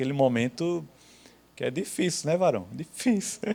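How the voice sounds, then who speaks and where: On a very clean recording with a silent background, a man talks with lively intonation. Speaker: Bible teacher. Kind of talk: Bible class lecture. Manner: slow; conversational.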